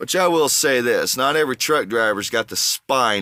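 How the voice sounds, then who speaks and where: A man with a Southern US accent, bright and sharp in tone, animated, with lively intonation at a moderate pace, in a very clean recording with a silent background and a dry, close sound with no echo. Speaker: truck driver vlogger. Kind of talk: casual vlog monologue. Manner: animated, ranting.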